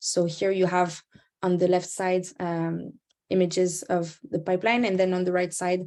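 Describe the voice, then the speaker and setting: A woman speaks with a French accent at a fairly low pitch and moderate pace. The recording is very clean, with a silent background. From France. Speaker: climate campaigner. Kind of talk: presentation.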